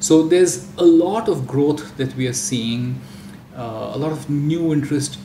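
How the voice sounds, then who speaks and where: A man with a Marathi accent talks amid noticeable background noise and audible room echo. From India (Marathi-speaking region). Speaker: audiobook industry executive. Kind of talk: panel discussion.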